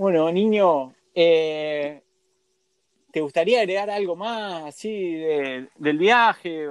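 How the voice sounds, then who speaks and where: At a very slow pace, a high-pitched man speaks with ordinary pitch variation. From Argentina. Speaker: radio host. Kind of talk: casual interview.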